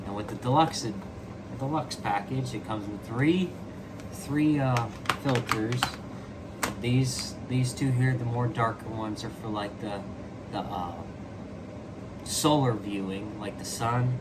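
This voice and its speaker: There is noticeable background noise and audible room echo as a man talks fairly slowly. He leaves long, frequent pauses, and his pitch varies in an ordinary way. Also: medium pitch for a man. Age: 20s. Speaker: amateur astronomy club founder. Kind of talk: product unboxing review. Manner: casual, hesitant with many fillers.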